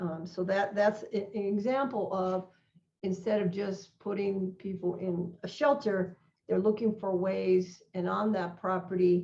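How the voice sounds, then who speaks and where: A woman's somewhat breathy, dark, mellow voice in a medium pitch, fairly even in intonation and fairly slow. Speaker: non-profit organization president. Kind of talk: online presentation.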